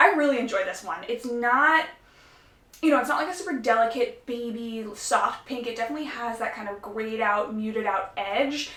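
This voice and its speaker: Audible room echo around a woman's fairly high voice and its ordinary pitch variation. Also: moderate pace. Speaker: nail polish youtuber. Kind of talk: casual vlog review. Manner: chatty, many fillers.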